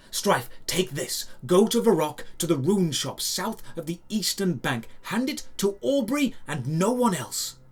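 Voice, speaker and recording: Putting on a character voice, a man talks in a high pitch at a fairly slow pace with hardly any pauses. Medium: audio drama. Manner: excited.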